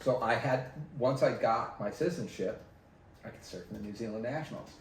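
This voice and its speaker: Fairly quick and somewhat breathy, a man's voice swings widely in loudness, with audible room echo. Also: medium pitch for a man, ordinary pitch variation. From Southern California, San Diego area. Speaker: former pro surfer and surf retailer. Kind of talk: casual interview chat.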